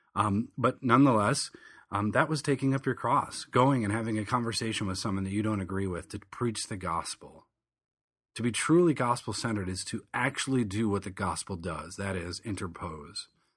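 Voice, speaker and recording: Over a very clean recording with a silent background, a plain, everyday voice moves at a fairly quick pace with ordinary pitch variation. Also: man, fairly low pitch for a man. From southern Michigan. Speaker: pastor and podcast host. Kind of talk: monologue commentary.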